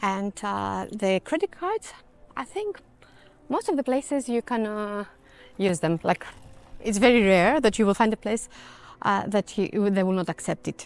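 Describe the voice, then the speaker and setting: With a Greek accent, a woman talks in a dry, close sound with no echo, leaving long, frequent pauses. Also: medium pitch for a woman, ordinary pitch variation, moderate pace. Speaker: travel vlogger. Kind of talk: walking tour vlog. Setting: outdoors, walking with dog. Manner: casual, hesitant with fillers.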